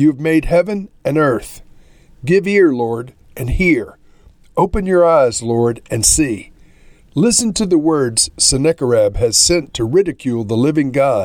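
Using an ordinary speaking voice, a man with a fairly high pitch talks at a fairly slow pace with lively intonation. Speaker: pastor. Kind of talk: scripture reading aloud; fervent prayer read from scripture. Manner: measured, reverent.

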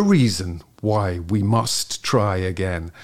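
A man talks with ordinary pitch variation. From northwest England, Merseyside coast near Southport. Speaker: actor and podcast host. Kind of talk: interview conversation. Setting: remote call.

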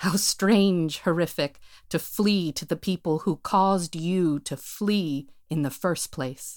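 With an American accent, a woman speaks at a very slow pace and a fairly low pitch with ordinary pitch variation, in a very clean recording over a silent background. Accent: American-sounding, like a tourist. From United States. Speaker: performer and writer. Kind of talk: scripted monologue performance.

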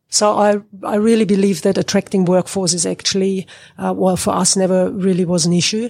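Over a silent background in a very clean recording, a woman with a German accent talks at a fairly quick pace in a medium-pitched voice, her tone dark and mellow and her intonation monotone and flat. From Germany. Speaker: agricultural consultant. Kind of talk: interview.

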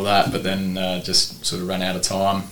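With an Australian accent, a man speaks at a moderate pace and a fairly low pitch. Noticeable background noise and audible room echo surround him. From South Australia, Port Lincoln. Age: 30s. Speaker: surf shop owner and football coach. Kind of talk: casual interview chat.

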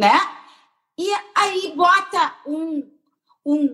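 A woman's voice with ordinary pitch variation. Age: 60s. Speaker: breast surgeon. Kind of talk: interview on a live stream.

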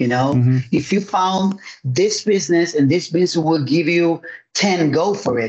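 A man speaks with a Spanish accent at a moderate pace. His pitch is high, varies in an ordinary way, and his loudness stays very even. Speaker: pastor and evangelist. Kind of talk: testimony.

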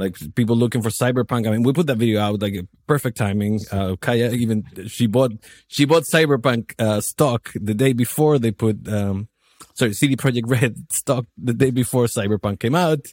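In a Spanish accent, a man speaks at a moderate pace with ordinary pitch variation, and the sound is dry and close with no echo. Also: medium pitch for a man. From Chile. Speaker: video marketer. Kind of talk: casual interview.

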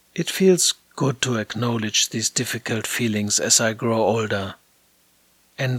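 With a German accent, a man talks at a fairly slow pace, the sound dry and close with no echo. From Germany. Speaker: theater director and podcast host. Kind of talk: scripted narration.

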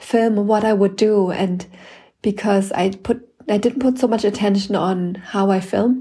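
Somewhat breathy, with a dark, mellow tone, a woman speaks at a medium pitch. Her pace is fairly slow and her intonation fairly even. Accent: non-native. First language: not English. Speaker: podcast host and mother learning video editing. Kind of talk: casual solo monologue. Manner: hesitant with many fillers.

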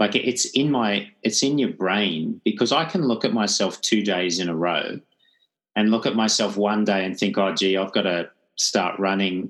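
A man talks fairly slowly with a fairly low pitch, in an ordinary speaking voice. The background is quiet. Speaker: podcast host. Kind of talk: casual chat.

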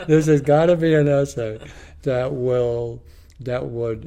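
A man's dark, mellow tone at a fairly slow pace. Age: 80s+. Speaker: philosophy professor. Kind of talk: interview.

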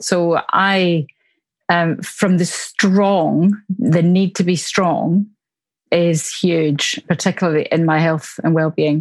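In a Glaswegian accent, a woman speaks at a very slow pace and a fairly low pitch, with fairly even intonation, very even loudness and a quiet background. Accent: Glaswegian Scottish. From Glasgow, Scotland. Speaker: church minister.

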